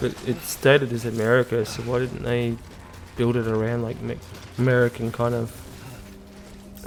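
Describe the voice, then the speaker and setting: A man with an Australian accent speaks at a medium pitch. Noticeable background noise is present. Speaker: gaming YouTuber. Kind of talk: let's play commentary. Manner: hesitant, many fillers.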